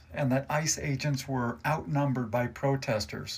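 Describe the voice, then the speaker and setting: A man with an American accent and a somewhat breathy voice. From United States. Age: 60s. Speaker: army veteran and truck driver giving political commentary. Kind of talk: political commentary monologue. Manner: angry, heated.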